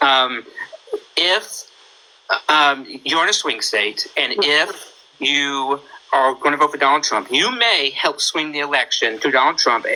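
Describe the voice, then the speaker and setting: Long, frequent pauses break up this fairly slow delivery, and there is noticeable background noise. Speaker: livestream host. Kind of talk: casual chat.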